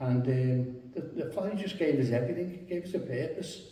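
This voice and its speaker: A man with a Liverpool accent speaks at a fairly quick pace amid noticeable background noise and audible room echo. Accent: Scouse. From Liverpool, England. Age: 70s. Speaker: local resident. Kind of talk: reminiscence interview. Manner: halting.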